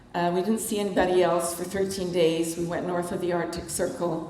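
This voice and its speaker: A woman with a Canadian accent at a medium pitch, fairly even in intonation, amid noticeable background noise and audible room echo. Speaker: author. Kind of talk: talk to a club. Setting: meeting hall with audience and microphone. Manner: casual, conversational.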